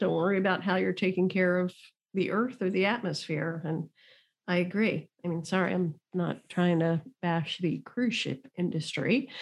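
At a moderate pace, a woman talks in a plain, everyday voice at medium pitch. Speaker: podcast co-host. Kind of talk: casual chat.

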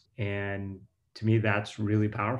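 A somewhat breathy voice with an American accent speaks over a quiet background. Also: man. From US, Pittsburgh. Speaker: venture capital investor. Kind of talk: interview.

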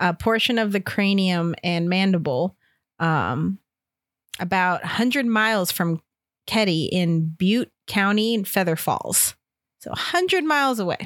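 Recorded very cleanly against a silent background, the sound is dry and close with no echo. A woman with an unremarkable speaking voice talks fairly slowly at a medium pitch, her intonation lively. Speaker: podcast host. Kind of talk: casual chat with scripted true-crime narration.

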